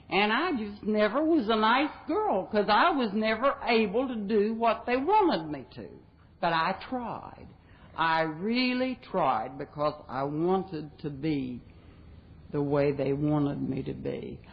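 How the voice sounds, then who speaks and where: With an American accent, a woman speaks at a fairly slow pace. Her medium-pitched voice moves through very wide pitch swings. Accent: Southern-sounding to people back home. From West Virginia. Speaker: recovering alcoholic speaker. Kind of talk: recovery talk. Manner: folksy, humorous.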